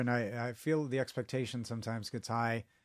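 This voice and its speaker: This is a man with an American accent. He talks at a fairly quick clip. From Chicago. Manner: animated, jokey, rambling.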